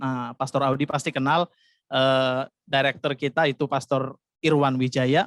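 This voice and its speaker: Speaking with a Javanese accent, a man holds a medium pitch, monotone, flat intonation and very even loudness at a moderate pace. The very clean recording has a silent background and a dry, close sound with no echo. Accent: Javanese-tinged Indonesian. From Jakarta, Indonesia (Batak family). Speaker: pastor. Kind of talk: sermon.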